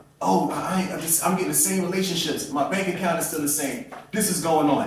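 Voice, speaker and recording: An animated man at a fairly quick pace, with audible room echo and noticeable background noise. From Philadelphia, US. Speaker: professor and conference host/speaker. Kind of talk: motivational talk. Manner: fast.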